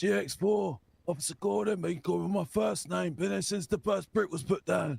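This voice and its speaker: The speaker uses a put-on character voice with a raspy edge. The pace is moderate. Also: man, fairly high pitch for a man. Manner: gruff.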